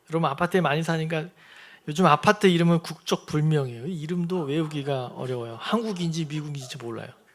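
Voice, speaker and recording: Fairly quick and lively in intonation, a man speaks at a high pitch. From Seoul, South Korea (moved from Sangju at age 4-5). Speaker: pastor. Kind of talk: sermon. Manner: conversational, addresses congregation directly.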